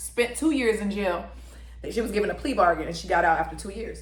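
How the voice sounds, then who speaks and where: Noticeable background noise sits behind a woman speaking at medium pitch. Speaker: mukbang / ASMR eating content creator. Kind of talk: storytelling about a documentary while eating.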